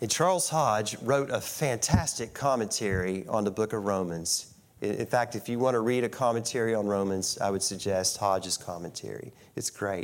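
The man talks in a fairly low register at a moderate speed, and his pitch varies in a normal way. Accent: Appalachian. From US South, West Virginia. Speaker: guest preacher. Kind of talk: sermon. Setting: church.

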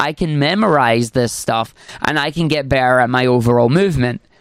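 A man with a Scottish accent, fairly high in pitch, with lively intonation at a moderate pace. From Scotland. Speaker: speedrunner and streamer. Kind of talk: casual interview.

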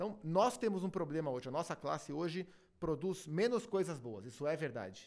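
A man with fairly high pitch, very wide pitch swings, vocal fry, and a moderate pace. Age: 30s. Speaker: TV sports commentator. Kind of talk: casual chat.

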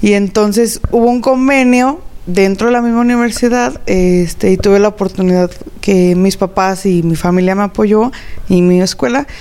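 A woman speaks at a moderate pace in a medium pitch, with ordinary pitch variation and very even loudness. Noticeable background noise can be heard. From Mexico, Zacatecas. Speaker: chef and restaurant owner. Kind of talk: interview.

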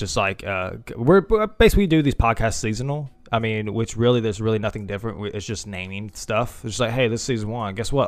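An animated man's voice of medium pitch, very fast in pace, with ordinary pitch variation. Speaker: podcast host. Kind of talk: casual chat. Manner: joking, animated.

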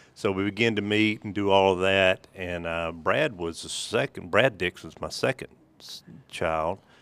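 A man with a Mississippi accent speaks at a moderate pace, his pitch fairly low and ordinary in its variation. The sound is dry and close with no echo, and his loudness swings widely. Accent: US Southern (Mississippi). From Mississippi, Holmes County. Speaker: church elder and trust company businessman. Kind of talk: casual interview.

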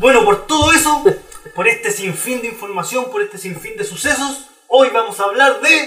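Raised, projected voice in a Chilean accent, very wide pitch swings, moderate pace. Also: man, extremely high pitch for a man. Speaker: podcast host. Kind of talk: casual chat; scripted narration.

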